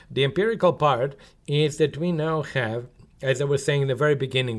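A man talks with a Serbian accent. The recording is very clean, with a silent background. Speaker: economics professor. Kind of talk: interview.

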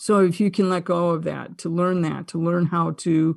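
A woman speaks with a fairly low pitch and vocal fry. The background is quiet. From Buffalo, New York, US. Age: 60s. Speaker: consciousness podcaster and former wellness teacher. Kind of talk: casual interview conversation.

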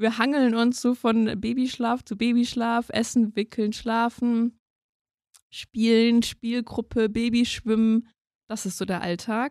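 In a very clean recording with a silent background and a dry, close sound with no echo, a woman with a fairly high pitch speaks very slowly in a monotone, flat intonation. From Germany, near Mainz. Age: 30s. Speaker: lawyer and new mother. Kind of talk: personal interview.

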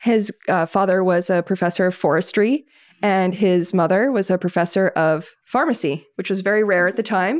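A woman talks in a plain, everyday voice at a medium pitch and moderate pace, on a very clean recording with a silent background. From Maine, US (western Maine mountains). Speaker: winery co-owner. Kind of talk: casual chat.

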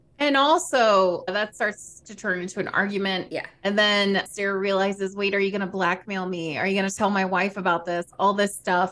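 A woman with an American accent talks at a moderate pace and medium pitch with fairly even intonation. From US South. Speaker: podcast co-host and streamer. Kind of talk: casual chat.

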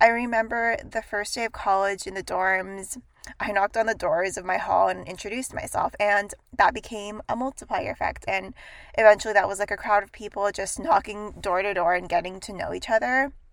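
A woman speaks in a normal speaking voice at a moderate pace, her pitch medium with ordinary variation. The recording is very clean, with a silent background. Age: 20s. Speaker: podcast host, accountant. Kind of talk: solo advice podcast.

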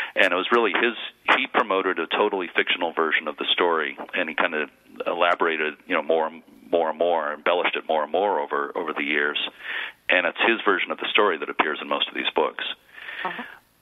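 A man's very deep, low voice at a very fast pace, ordinary pitch variation, and noticeable background noise. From Massachusetts (Lynn). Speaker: author and local historian. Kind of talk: interview on a radio show.

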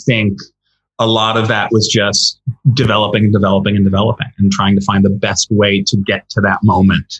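Somewhat breathy, this man speaks with an American accent. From Connecticut, US. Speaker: screenwriter. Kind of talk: interview. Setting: remote interview from home.

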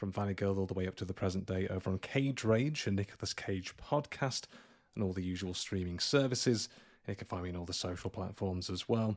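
The very clean recording with a silent background captures a fairly quick pace in a British accent with ordinary pitch variation. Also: man, fairly low pitch for a man. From UK. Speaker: podcast host, guest. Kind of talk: casual chat.

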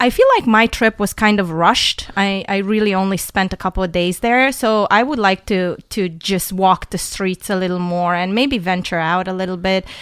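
On a very clean recording with a silent background, a woman speaks at a medium pitch with a slight non-native accent. Her pace is moderate, with ordinary pitch variation and hardly any pauses. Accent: slight foreign. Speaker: returning guest, traveler. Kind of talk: casual chat. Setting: studio.

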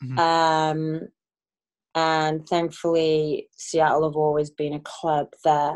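A woman with a Welsh accent speaks at a very slow pace in a very deep, low pitch. Her intonation stays monotone and flat. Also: quiet background. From Wales. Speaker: professional soccer player. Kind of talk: casual interview.

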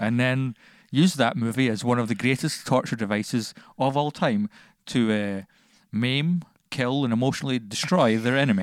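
A man in a Scottish accent speaks with very even loudness. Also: medium pitch for a man, ordinary pitch variation, moderate pace, very clean recording, silent background. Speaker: podcast co-host. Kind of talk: casual chat. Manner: energetic.

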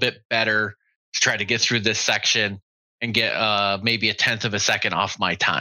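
A man's medium-pitched voice at a moderate pace. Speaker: army veteran. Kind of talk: casual chat.

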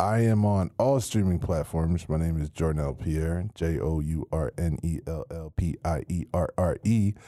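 The voice has a dark, mellow tone and moves at a fairly slow pace with hardly any pauses. The recording is very clean, with a silent background and a dry, close sound with no echo. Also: man, very deep, low pitch for a man, ordinary pitch variation. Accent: American. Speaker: rapper. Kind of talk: casual chat.

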